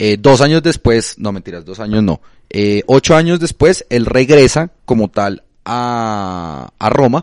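A man of medium pitch talks in an unremarkable speaking voice with lively intonation and big swings in loudness. The sound is dry and close, with no echo. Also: fairly slow pace. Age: 20s. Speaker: football podcast co-host. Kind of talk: casual chat.

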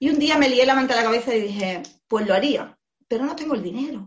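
A woman's somewhat breathy voice, animated in tone, with lively intonation. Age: 40s. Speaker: former hairdresser turned digital marketer. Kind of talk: interview.

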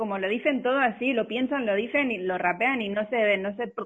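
At a fairly quick pace, a woman talks in a normal speaking voice, fairly high in pitch with ordinary pitch variation. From Spain, Barcelona. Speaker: podcast co-host. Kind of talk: casual chat.

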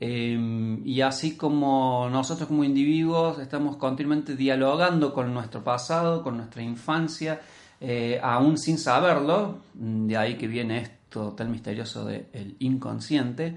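A man talks at a fairly slow pace in a medium pitch with ordinary pitch variation. Room echo is audible around him. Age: 40s. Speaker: podcast co-host, language teacher. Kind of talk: casual discussion podcast.

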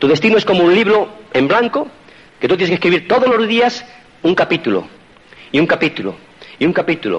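In a Spanish accent, a man with a high pitch talks in an animated tone at a fairly quick pace, using lively intonation, long and frequent pauses, and very even loudness over noticeable background noise. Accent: Spain Spanish. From Spain. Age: 50s. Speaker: motivational speaker. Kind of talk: motivational talk.

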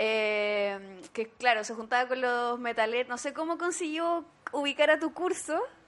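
A high female voice in a Chilean accent with lively intonation, at a fairly slow pace. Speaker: podcast host and teacher. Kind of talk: casual chat.

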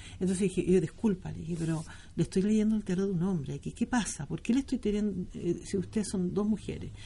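Very fast and somewhat breathy, a woman speaks with a Chilean accent in a dark, mellow tone. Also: medium pitch for a woman, ordinary pitch variation. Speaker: tarot reader. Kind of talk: interview.

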